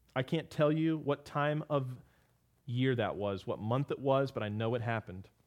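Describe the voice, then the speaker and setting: A man with a normal speaking voice, medium pitch, ordinary pitch variation, and a moderate pace. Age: 30s. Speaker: pastor and podcast host. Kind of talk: Bible teaching podcast.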